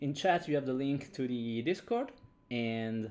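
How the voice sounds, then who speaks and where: A man with an Italian accent talks at a fairly slow pace. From Italy. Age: 30s. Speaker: game designer streamer. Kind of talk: casual livestream chat. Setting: livestream from home. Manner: halting with repetitions.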